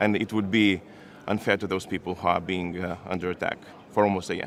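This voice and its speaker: A man with a Lithuanian accent talks at a fairly quick pace. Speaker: foreign minister. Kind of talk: press conference statement and answers. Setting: press room.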